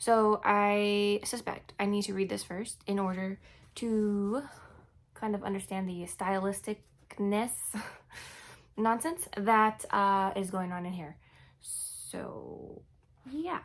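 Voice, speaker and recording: Heard on a very clean recording with a silent background, a woman mumbles at a very slow pace and medium pitch, with ordinary pitch variation and long, frequent pauses. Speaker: book vlogger. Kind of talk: casual vlog talk. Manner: mumbling; casual, halting.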